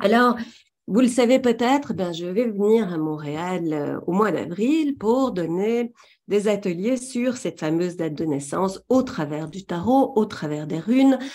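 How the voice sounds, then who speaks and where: Dark, mellow tone with a Belgian accent, very wide pitch swings, and a fairly slow pace. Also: woman. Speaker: trainer in tarot and runes. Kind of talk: webinar presentation. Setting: webinar, talking to a camera.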